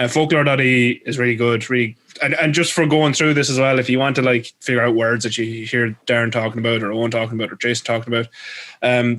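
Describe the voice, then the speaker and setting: Speaking very fast with a Leinster accent, a man keeps a medium pitch and fairly even intonation. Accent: Irish (Leinster). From Ireland, Leinster. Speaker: podcast host. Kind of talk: casual chat.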